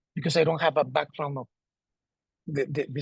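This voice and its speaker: A man with a Spanish accent speaks at a very fast pace with fairly even intonation. His voice is fairly high and somewhat breathy. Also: dry, close sound with no echo. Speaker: sports federation president. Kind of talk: presentation. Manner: halting, repeats words.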